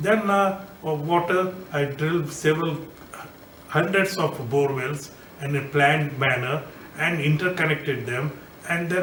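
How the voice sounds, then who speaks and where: At a moderate pace, a man speaks with a fairly high pitch and fairly even intonation. Audible room echo and noticeable background noise surround his voice. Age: 60s. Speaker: politician and engineer. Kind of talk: recorded video message. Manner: halting, many fillers.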